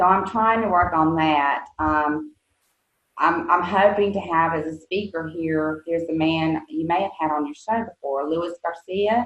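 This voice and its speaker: Fairly slow speech from a woman pitched fairly low. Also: ordinary pitch variation. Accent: Southern US. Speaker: nonprofit executive director and mother of an addict. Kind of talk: podcast interview. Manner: hesitant, many fillers.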